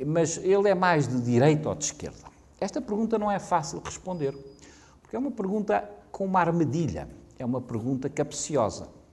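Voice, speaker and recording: A man with a European Portuguese accent speaks at a fairly high pitch and a moderate pace. His pitch swings very widely. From Portugal. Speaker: professor. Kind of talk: lecture. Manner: halting.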